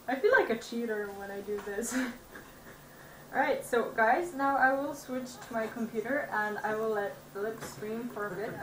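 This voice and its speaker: There's audible room echo and noticeable background noise behind this woman. Her pitch is fairly high. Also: ordinary pitch variation, moderate pace. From Serbia. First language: Serbian. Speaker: game streamer. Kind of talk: casual chat. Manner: halting.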